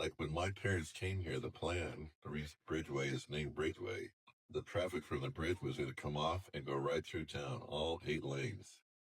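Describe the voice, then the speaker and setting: A man with a very deep, low pitch and vocal fry speaks at a moderate pace with ordinary pitch variation. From US West Coast, Sausalito, California. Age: 60s. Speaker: longtime local resident. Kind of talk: oral history interview. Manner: halting, with self-corrections and fillers.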